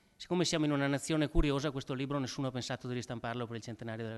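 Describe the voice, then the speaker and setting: A man with a northern Italian accent and fairly even intonation, against a quiet background. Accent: Po Valley northern Italian. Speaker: event moderator introducing a historian. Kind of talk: lecture introduction. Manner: halting, frequent repetitions and fillers.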